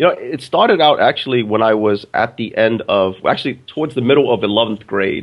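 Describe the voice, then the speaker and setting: A man with a Brooklyn accent, talking at a fairly quick pace with hardly any pauses. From Brooklyn, New York, then upstate New York. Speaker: business educator and author. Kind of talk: interview. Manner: halting, with repeated words.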